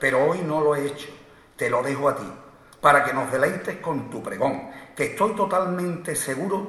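A man speaks with lively intonation at a fairly high pitch. Noticeable background noise runs under his voice. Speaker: presenter introducing the proclaimer, brotherhood official. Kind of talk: formal ceremonial introduction. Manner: formal, solemn.

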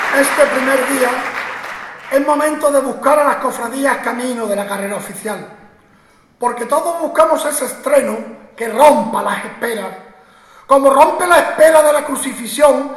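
A man speaks at a moderate pace in a solemn tone, his pitch extremely high with ordinary variation. Noticeable background noise runs beneath him. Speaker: Holy Week proclaimer, orator. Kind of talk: ceremonial oration with rhymed verse, poetic declamation. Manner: solemn, rhetorical, rhythmic, impassioned.

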